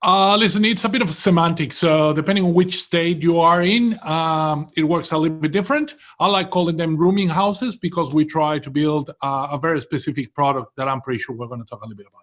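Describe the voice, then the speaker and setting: On a very clean recording with a silent background, a man with a Venezuelan accent speaks at a very fast pace with hardly any pauses, high pitch, ordinary pitch variation and big swings in loudness. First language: Spanish. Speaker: property developer. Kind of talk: interview.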